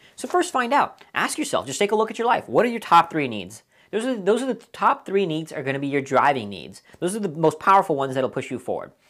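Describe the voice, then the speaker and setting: A woman talks at a very fast pace with very wide pitch swings and vocal fry. The recording is very clean, with a silent background. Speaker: motivational speaker. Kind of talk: lecture.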